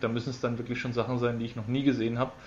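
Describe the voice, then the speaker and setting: Somewhat breathy, a man speaks at a medium pitch in a flat monotone. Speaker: podcaster. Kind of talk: casual chat.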